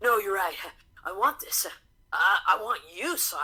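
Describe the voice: Lively intonation marks this plain reading aloud.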